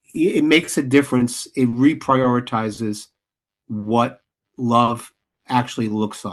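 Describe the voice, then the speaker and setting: A man with an American accent speaks at a fairly slow pace and a medium pitch. His intonation is fairly even, and the background is quiet. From New York, the Bronx. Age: 60s. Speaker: playwright and director. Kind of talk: interview. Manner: halting, many restarts.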